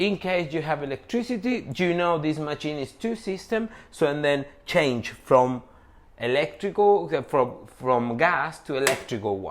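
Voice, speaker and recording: A man with a non-native accent, fairly high in pitch and fairly slow, his pitch swinging very widely, amid noticeable background noise. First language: not English. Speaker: coffee machine distributor. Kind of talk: product tutorial. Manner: halting.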